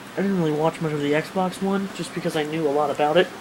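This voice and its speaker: Very fast speech over noticeable background noise. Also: man. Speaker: gaming vlogger. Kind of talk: casual vlog monologue. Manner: animated.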